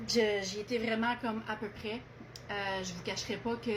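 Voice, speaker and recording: A woman speaks at a fairly high pitch and a fairly slow pace, her intonation monotone and flat. Audible room echo and noticeable background noise fill the recording. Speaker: medium relaying a message. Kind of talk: message reading. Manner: halting.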